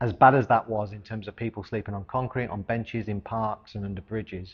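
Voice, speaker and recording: Somewhat breathy, a man with an English accent speaks at a fairly quick pace in a fairly low pitch with fairly even intonation and big swings in loudness. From central England, Coventry. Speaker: charity founder. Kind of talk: personal testimony and organisation presentation.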